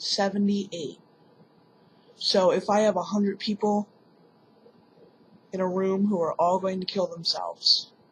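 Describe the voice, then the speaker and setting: This woman's voice is somewhat breathy, and she talks at a fairly slow pace. Her intonation stays monotone and flat, with long, frequent pauses. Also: medium pitch for a woman. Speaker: vlogger. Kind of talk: personal vlog monologue.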